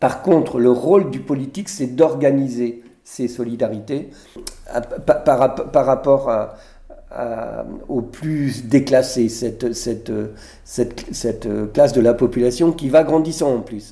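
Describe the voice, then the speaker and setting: With vocal fry in his dark, mellow tone, a man talks very slowly at a medium pitch with ordinary pitch variation. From Brittany, France (Morbihan, near Vannes). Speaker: senator. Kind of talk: interview in front of an audience. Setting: public recording with audience. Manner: halting, many repetitions and hesitations.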